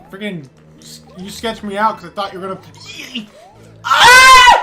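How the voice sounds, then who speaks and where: Someone shouts at a moderate pace over music in the background. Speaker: gaming streamer. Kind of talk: casual chat. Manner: loud; animated.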